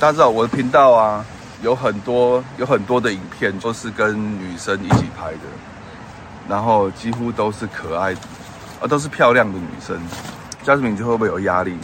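Over noticeable background noise, a man talks at a moderate pace with long, frequent pauses, a medium pitch and ordinary pitch variation. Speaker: podcast host. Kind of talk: casual chat. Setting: in a car. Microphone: audio taken from video, poorer sound.

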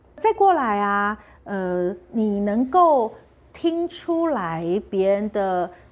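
The voice moves at a very slow pace, with very wide pitch swings. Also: woman, medium pitch for a woman. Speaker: health channel host. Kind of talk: casual vlog talk. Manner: clear articulation.

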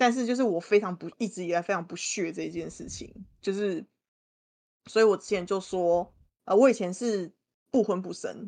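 A woman speaks at a medium pitch and a moderate pace, with a dark, mellow tone and ordinary pitch variation. Her loudness swings widely against a quiet background. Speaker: guest co-host. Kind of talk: casual chat.

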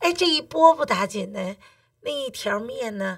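A woman's fairly slow speech in a Beijing accent, on a very clean recording with a silent background. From Beijing, China. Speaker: cooking teacher. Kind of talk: casual interview chat.

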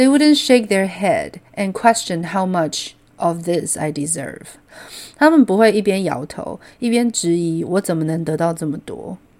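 A woman talks at medium pitch with lively intonation. Her pace is fairly slow. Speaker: podcast host. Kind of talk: casual solo talk explaining song lyrics. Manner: animated.

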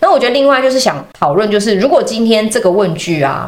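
Noticeable background noise and audible room echo accompany a woman who keeps up a fairly quick pace. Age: 30s. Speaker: podcast host and dating platform founder. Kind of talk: casual chat; show outro with promotion.

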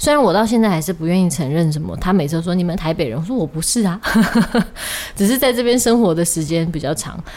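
A woman talks very fast in a fairly low voice with lively intonation. Noticeable background noise runs under her speech. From Taiwan, Kaohsiung. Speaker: podcast host. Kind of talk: casual chat.

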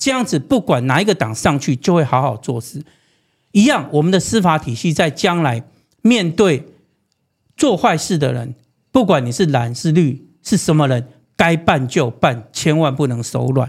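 A man talks with a somewhat breathy, fairly high voice, moving at a moderate pace while his pitch swings very widely. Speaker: prosecutor turned city official and political candidate. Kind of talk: interview.

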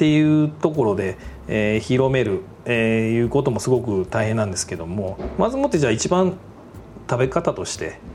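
A man at medium pitch with lively intonation and a moderate pace, over noticeable background noise. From Japan, Aichi (Toyohashi). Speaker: food company president. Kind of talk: interview. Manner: formal; hesitant fillers.

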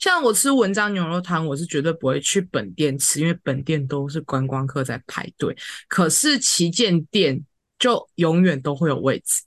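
Lively intonation and a moderate pace mark an ordinary speaking voice. The sound is dry and close with no echo, over a quiet background. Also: woman, fairly low pitch for a woman. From Taiwan, Tainan. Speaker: podcast co-host. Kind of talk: casual chat.

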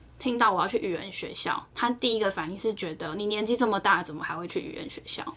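A woman with medium pitch and ordinary pitch variation talks at a very fast pace with hardly any pauses. Her loudness swings widely over noticeable background noise. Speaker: podcast co-host. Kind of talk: casual chat.

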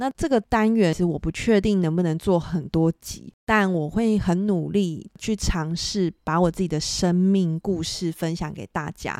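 A woman's medium-pitched voice with a Taiwanese accent, dry and close with no echo. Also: very clean recording, silent background. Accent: Taiwanese Mandarin. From Taiwan, Hsinchu. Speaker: podcast host, photographer. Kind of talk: solo podcast monologue.

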